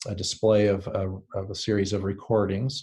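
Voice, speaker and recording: A somewhat breathy man at a fairly low pitch, monotone and flat, against a quiet background. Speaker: STEM educator presenting a product. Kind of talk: webinar presentation. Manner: fast; hesitant, many fillers.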